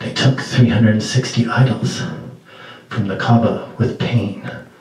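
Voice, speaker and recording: A man speaks in a dramatic tone with audible room echo. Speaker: poet. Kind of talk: poem performance, spoken word. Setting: small venue, live audience. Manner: dramatic, rhythmic delivery. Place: stage.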